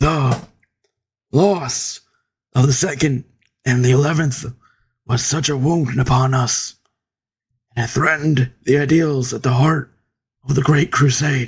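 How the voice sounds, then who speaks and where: Using a raspy put-on character voice, a man speaks at a fairly slow pace with fairly even intonation and long, frequent pauses. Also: medium pitch for a man. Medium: read story.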